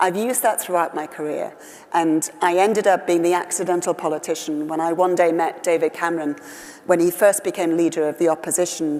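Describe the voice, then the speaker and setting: A fairly low-pitched woman with a Welsh accent, a fairly quick pace and fairly even intonation, over noticeable background noise. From West Wales. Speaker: politician. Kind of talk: interview.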